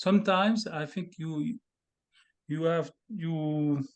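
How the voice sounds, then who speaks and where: Over a quiet background, a man with a French accent speaks at a fairly high pitch with ordinary pitch variation. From France, the Alps. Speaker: composer. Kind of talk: interview about his music. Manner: halting.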